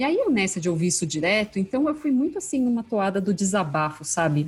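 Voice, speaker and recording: Somewhat breathy, a woman talks at a very fast pace and a medium pitch. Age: 40s. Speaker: customer experience specialist. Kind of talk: casual interview chat.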